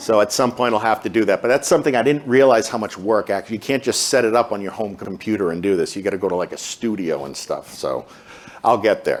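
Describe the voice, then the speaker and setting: With a Boston accent, a man speaks at a very fast pace in a medium pitch, with ordinary pitch variation. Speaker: pharmacist in recovery, speaker. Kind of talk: Q&A talk. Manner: hesitant, filler words.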